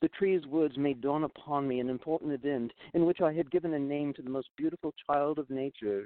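A man with an unremarkable speaking voice talks at a fairly high pitch with ordinary pitch variation. He speaks at a fairly quick pace with hardly any pauses. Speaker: storyteller reading his own tale. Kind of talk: literary audiobook reading of an archaic fable. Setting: studio via remote connection.

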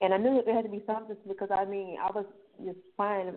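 A woman speaks at a very fast pace. Her medium pitch stays monotone and flat. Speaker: author and brain injury survivor. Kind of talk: personal testimony. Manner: calm, unbothered.

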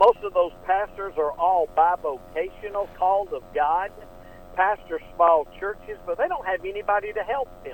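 Talking at a fairly slow pace, a man with an American accent has a high pitch. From US South, Atlanta, Georgia. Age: 60s. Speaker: pastor and missionary pilot. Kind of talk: radio interview.

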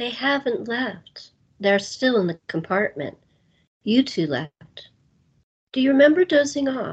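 A woman's put-on character voice, husky and rough-edged, with lively intonation. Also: fairly high pitch for a woman, fairly slow pace.

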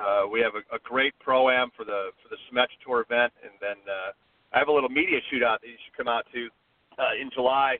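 A man with an American accent uses a normal speaking voice at a medium pitch and a fairly quick pace, with big swings in loudness. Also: fairly even intonation. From US Midwest, Chicago area. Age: 50s. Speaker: golf resort media relations director. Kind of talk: casual interview.

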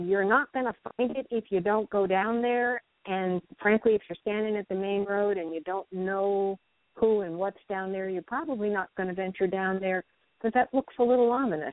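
With an American accent, a woman speaks at a moderate pace in an unremarkable speaking voice, her pitch medium and its variation ordinary. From North Carolina. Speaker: editor and researcher. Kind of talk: interview.

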